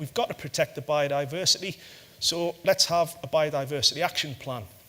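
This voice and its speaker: Fairly quick in pace, a man talks in a bright, sharp tone. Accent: northeast English. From northeast England. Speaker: corporate sustainability head. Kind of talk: conference talk. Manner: halting, many fillers.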